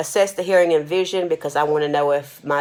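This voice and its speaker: A woman at a very fast pace, with noticeable background noise. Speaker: nursing instructor. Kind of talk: recorded lecture. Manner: casual, with fillers.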